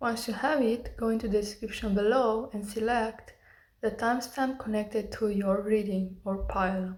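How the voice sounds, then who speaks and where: A woman's fairly high pitch, somewhat breathy, at a moderate pace with fairly even intonation. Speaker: tarot reader. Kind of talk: tarot reading.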